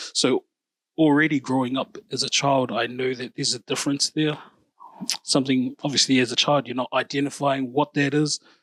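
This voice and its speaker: A New Zealand accent, monotone and flat in intonation, at a fairly quick pace, with a dry, close sound and no echo. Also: man, fairly high pitch for a man. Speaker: podcast host. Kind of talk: casual chat.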